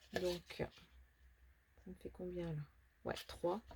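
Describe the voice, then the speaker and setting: A soft-spoken woman's somewhat breathy voice, dark and mellow in tone. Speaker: papercraft tutorial youtuber. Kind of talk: tutorial. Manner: casual.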